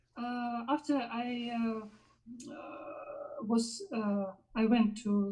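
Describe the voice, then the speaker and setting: The voice has a dark, mellow tone and a Russian accent. Its intonation stays fairly even. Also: woman. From Belarus, Minsk. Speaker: musician and jury member. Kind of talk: live interview. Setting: online live stream. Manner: halting, many fillers.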